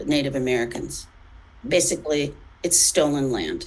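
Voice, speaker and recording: A woman with a very deep, low pitch speaks at a fairly slow pace with ordinary pitch variation. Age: 60s. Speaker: editor and journalist. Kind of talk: interview conversation. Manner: halting.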